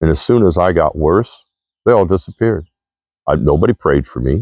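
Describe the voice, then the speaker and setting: A man's voice carries vocal fry at a moderate pace. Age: 60s. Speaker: vlogger. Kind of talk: monologue to camera. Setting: outdoors.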